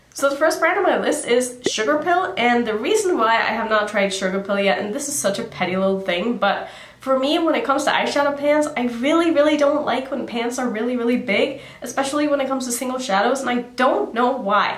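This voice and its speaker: Talking at a fairly quick pace with hardly any pauses, a woman with a high pitch comes through amid audible room echo. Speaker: beauty vlogger. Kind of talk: casual vlog chat. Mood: chatty, lightly amused. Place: home room.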